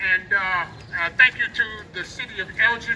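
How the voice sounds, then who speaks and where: A man with a high pitch and fairly even intonation speaks amid noticeable background noise. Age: 60s. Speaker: protest speaker. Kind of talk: rally speech.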